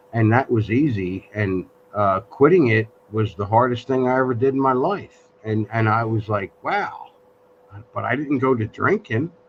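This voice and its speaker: Noticeable background noise sits behind this recording. A man speaks at a moderate pace with a medium pitch and ordinary pitch variation. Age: 60s. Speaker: live stream host. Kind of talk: casual chat. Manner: halting.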